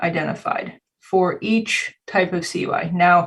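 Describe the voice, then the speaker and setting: With ordinary pitch variation, a woman talks in a somewhat breathy voice at a very slow pace. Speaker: cybersecurity compliance consultant and instructor. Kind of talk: conference presentation. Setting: video call.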